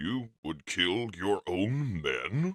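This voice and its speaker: A man's put-on character voice, fairly low in pitch, with very wide pitch swings and a dry, close sound with no echo. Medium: fan dub. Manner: cold, clipped.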